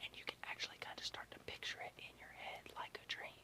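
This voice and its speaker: A man is whispering at a fairly quick pace. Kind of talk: guided relaxation and sleep tips, ASMR. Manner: casual, conversational, soft-spoken.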